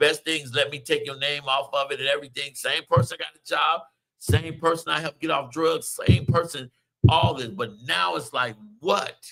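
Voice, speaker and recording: This man has a bright, sharp tone at a fairly high pitch. He keeps a moderate pace with ordinary pitch variation. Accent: American. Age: 50s. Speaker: radio show host. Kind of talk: casual chat.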